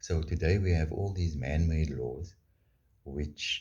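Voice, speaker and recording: A man's voice with vocal fry and lively intonation. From South Africa. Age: 60s. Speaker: vlogger. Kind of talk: opinion monologue.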